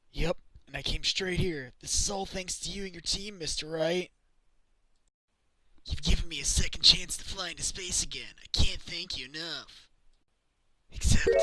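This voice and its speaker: Using a put-on character voice, a man speaks raspy and high-pitched at a moderate pace, with long, frequent pauses. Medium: cartoon. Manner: downbeat, earnest.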